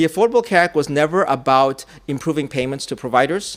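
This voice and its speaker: A man talks at a very fast pace in a fairly high voice, his pitch varying in an ordinary way. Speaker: public health expert and conference speaker. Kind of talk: conference presentation. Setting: conference session with audience. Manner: halting with frequent fillers.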